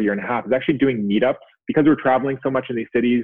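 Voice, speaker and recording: Very fast-paced male speech with fairly even intonation. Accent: Canadian. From Canada. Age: 30s. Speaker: business founder and CEO of a physiotherapy company. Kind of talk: casual interview chat.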